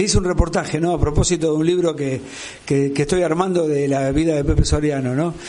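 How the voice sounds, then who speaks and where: Amid noticeable background noise and audible room echo, a man with a Rioplatense accent talks at a moderate pace in a fairly high voice. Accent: Argentine Rioplatense Spanish. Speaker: radio interviewer. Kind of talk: interview.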